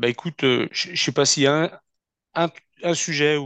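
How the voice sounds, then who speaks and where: The voice shows ordinary pitch variation, with a dry, close sound and no echo. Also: man, quiet background. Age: 40s. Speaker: company CEO. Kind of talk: interview. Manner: halting.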